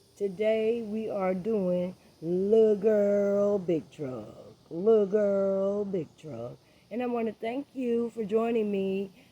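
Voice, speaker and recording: Speaking with an American accent, a woman talks at a very slow pace. Her medium-pitched voice has a dark, mellow tone. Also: ordinary pitch variation. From Florida, US South. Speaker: online show host. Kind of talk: opinion monologue. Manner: animated.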